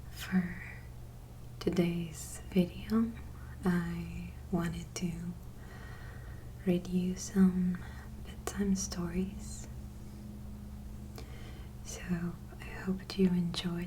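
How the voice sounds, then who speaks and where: Over noticeable background noise, a soft-spoken voice moves at a very slow pace with long, frequent pauses. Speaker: ASMR creator. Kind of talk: casual talk to camera.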